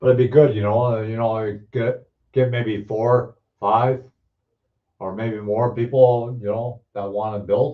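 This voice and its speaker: In an Ontario accent, a man talks at a fairly slow pace with monotone, flat intonation. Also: medium pitch for a man. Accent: Canadian (Ontario). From Ontario, Canada (Hamilton). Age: 60s. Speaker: model car builder, live streamer. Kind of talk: casual live chat reading viewer comments. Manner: halting, many fillers and restarts.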